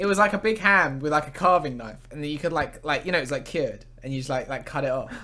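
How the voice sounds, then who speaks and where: A man at a fairly high pitch, talking at a very fast pace with hardly any pauses. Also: ordinary pitch variation. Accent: southern English. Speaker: podcast host. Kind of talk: casual chat.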